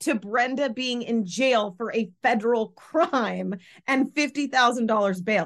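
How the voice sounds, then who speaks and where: A woman with an ordinary speaking voice talks at a fairly slow pace. Her pitch is fairly high, with ordinary variation. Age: 40s. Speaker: podcast co-host. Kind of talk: casual chat.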